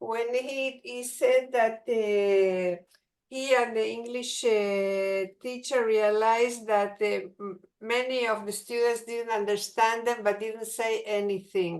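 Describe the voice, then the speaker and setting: A woman's fairly high voice with a Spanish accent, at a very slow pace with fairly even intonation. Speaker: teacher. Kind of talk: audience question in webinar. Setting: video call. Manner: halting.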